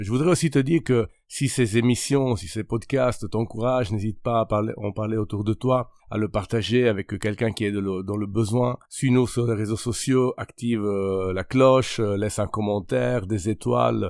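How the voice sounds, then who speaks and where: A man with a slight Italian accent speaks in a fairly low pitch at a moderate pace with hardly any pauses. His pitch varies in an ordinary way, and the recording is very clean with a silent background. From Italy. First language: Italian (speaking French). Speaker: pastor and podcast host. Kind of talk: religious podcast monologue. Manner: halting, many hesitations.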